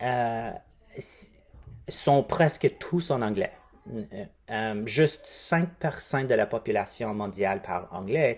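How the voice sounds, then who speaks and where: A man with a non-native accent speaks at a very slow pace, leaving long, frequent pauses. His pitch is medium and his intonation lively. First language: English (speaking French). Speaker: linguistic anthropologist. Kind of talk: recruitment appeal. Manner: halting.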